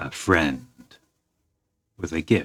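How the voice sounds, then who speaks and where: A man puts on a gruff character voice. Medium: actual play.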